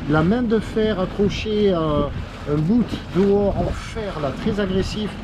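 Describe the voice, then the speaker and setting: A man speaks at a very slow pace in a high voice with ordinary pitch variation. Noticeable background noise and audible room echo come through. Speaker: sailing vlogger. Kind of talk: travel vlog narration. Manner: casual.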